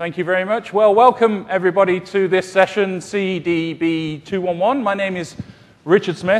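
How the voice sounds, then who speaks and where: A man with a British accent talks at a moderate pace. His pitch is high, and his intonation fairly even. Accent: British, sometimes mistaken for Australian. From UK. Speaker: solution architect, conference presenter. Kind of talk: technical conference presentation. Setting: conference session room with audience. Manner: hesitant with frequent fillers.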